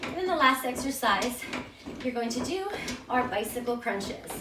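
A woman speaks high for a woman, with lively intonation. Room echo can be heard.

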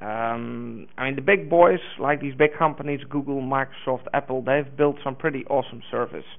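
The intonation stays fairly even. A man delivers it at a moderate pace. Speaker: conference presenter. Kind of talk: lecture. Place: hall.

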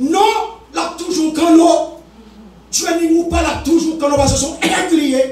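A man with an extremely high voice and an animated tone speaks at a fairly slow pace with long, frequent pauses, and audible room echo is present. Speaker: preacher. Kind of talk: sermon. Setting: church. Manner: animated, exhortative, call-and-response with congregation. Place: church. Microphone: camera far.

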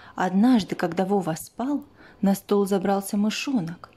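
Pitch varies by an ordinary amount. The text is read aloud in a natural voice.

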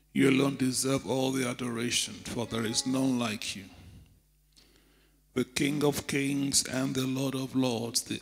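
A man speaks at a fairly slow pace with fairly even intonation. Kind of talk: prayer. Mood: reverent, fervent. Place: church. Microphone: handheld.

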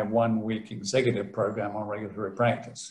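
Over a quiet background with audible room echo, a man speaks in a monotone, flat way, sounding somewhat breathy. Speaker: professor giving seminar. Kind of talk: lecture. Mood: relaxed, lightly humorous. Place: home room. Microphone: webcam.

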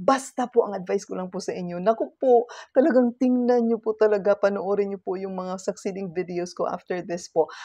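A woman of medium pitch speaks at a fairly quick pace with a dark, mellow tone. Her loudness swings widely over a quiet background. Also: dry sound with no echo. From Philippines. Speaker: lifestyle vlogger; self-help vlogger. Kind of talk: casual vlog talk to camera. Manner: halting, many fillers. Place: home room. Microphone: webcam.

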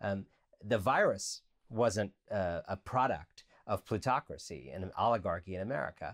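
The intonation is lively, and the background is quiet. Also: man. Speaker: author and writer; guest. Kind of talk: interview. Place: home room.

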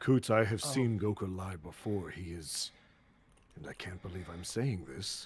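Speaking at a moderate speed, a man uses a very deep, low voice. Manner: measured, formal.

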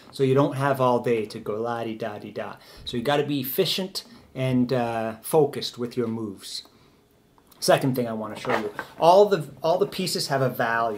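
A man's medium-pitched voice with noticeable background noise. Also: moderate pace. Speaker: chess teacher. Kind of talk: tutorial. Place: home room. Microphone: camera far.

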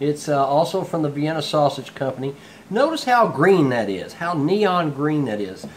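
A man speaks at a moderate pace with a fairly high pitch. His pitch swings are big.

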